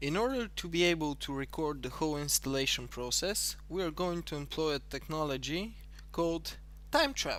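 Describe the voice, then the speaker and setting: Speaking at a moderate pace, a man talks in an Eastern European accent. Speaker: tutorial creator. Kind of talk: tutorial.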